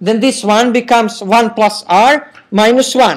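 A man speaks with an Eastern European accent. His pitch is extremely high. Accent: Slavic. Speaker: university professor. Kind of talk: recorded university lecture. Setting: classroom.

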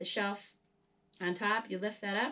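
A woman's voice with fairly even intonation. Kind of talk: casual vlog chat. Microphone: camera far.

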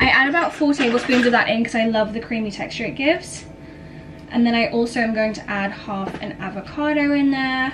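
Over noticeable background noise, a woman talks at a fairly quick pace in a high pitch with ordinary pitch variation. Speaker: lifestyle vlogger. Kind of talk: casual vlog chat. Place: kitchen. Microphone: camera far.

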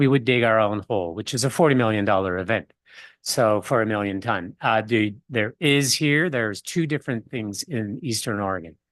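A man's medium-pitched voice with ordinary pitch variation, at a moderate pace over a quiet background. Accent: Quebec. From Quebec. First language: French. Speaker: business presenter. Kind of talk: public presentation and Q&A at council meeting. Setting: city council meeting.

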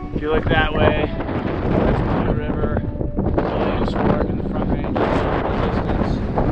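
A man's voice over loud background noise. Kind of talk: casual vlog chat. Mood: disappointed but joking. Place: open country. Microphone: phone near.

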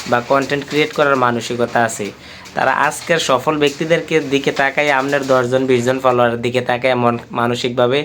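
Monotone, flat intonation from a man, with noticeable background noise. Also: medium pitch for a man. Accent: Comilla. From Bangladesh, Comilla. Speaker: vlogger. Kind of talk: motivational talk to camera. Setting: indoors, sitting on a bed in his room.

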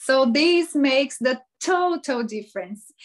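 A woman with a Portuguese accent speaks very slowly at a high pitch, her intonation lively over a quiet background. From Brazil. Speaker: life coach. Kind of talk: interview. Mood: cheerful, animated. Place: home room. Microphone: video call.

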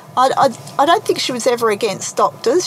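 Someone talks with an Australian accent over noticeable background noise. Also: woman. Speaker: naturopath's daughter. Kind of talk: interview. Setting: in a parked car.

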